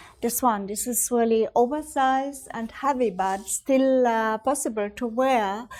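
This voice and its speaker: A woman's high-pitched voice at a fairly slow pace with hardly any pauses, in a very clean recording with a silent background. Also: ordinary pitch variation. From Upper Austria. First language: German. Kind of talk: artist talk at book launch. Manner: halting.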